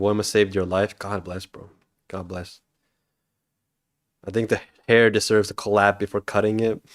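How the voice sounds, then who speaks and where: A man speaks in a fairly low, monotone, flat voice with big swings in loudness. Long pauses come often. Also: dry, close sound with no echo, very clean recording, silent background. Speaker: indie game developer streamer. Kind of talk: livestream chat. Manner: fast. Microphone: not very good microphone.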